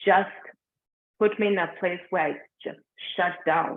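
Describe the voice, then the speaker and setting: Speaking fairly slowly, a woman talks with a Ugandan accent. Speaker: meditation guide. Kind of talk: personal story in live group session. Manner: conversational, with many fillers.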